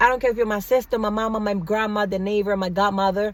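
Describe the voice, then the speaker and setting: At a fairly quick pace, a woman speaks in an animated tone at a medium pitch. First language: not English. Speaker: vlogger. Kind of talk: casual monologue vlog. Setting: in a car.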